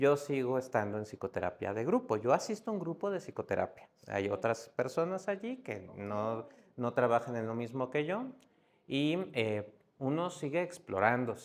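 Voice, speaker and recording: With a Mexico City accent, a man speaks at a moderate pace and medium pitch, his intonation lively. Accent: Mexico City (Narvarte) accent, noticeable. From Mexico City, Narvarte. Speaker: psychiatrist. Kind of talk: podcast interview.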